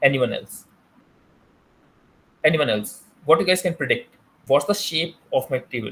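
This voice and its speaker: With an Indian accent, a man speaks in a fairly high voice that swings very widely in pitch, leaving long, frequent pauses. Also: moderate pace. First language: Hindi. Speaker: teaching assistant. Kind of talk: tutorial. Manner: halting, many fillers.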